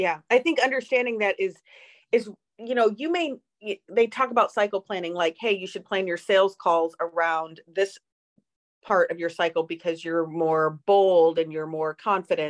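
Someone with a normal speaking voice talks at a moderate pace with ordinary pitch variation, the sound dry and close with no echo. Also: woman, medium pitch for a woman. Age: 40s. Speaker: podcast co-host. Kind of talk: casual chat. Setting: video call.

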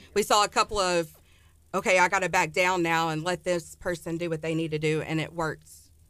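On a very clean recording with a silent background, a woman with a Texan accent and fairly low pitch speaks at a fairly quick pace with fairly even intonation. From Texas, Ennis near Dallas. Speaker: elementary school teacher. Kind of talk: casual radio interview. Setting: radio studio.

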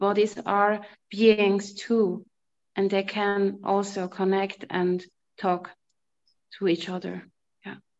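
A woman's medium-pitched voice in a German accent, monotone and flat, at a very slow pace with long, frequent pauses. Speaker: energy reader. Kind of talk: group discussion. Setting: video call.

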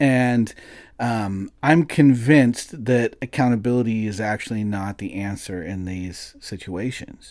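A man talks in a normal speaking voice with big swings in loudness and ordinary pitch variation. The recording is very clean, the background silent. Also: medium pitch for a man. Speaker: podcast co-host. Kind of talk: casual chat. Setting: studio.

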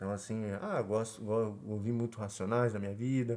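The pace is moderate. A dark, mellow tone marks the voice. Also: man. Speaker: podcast co-host. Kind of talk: casual chat.

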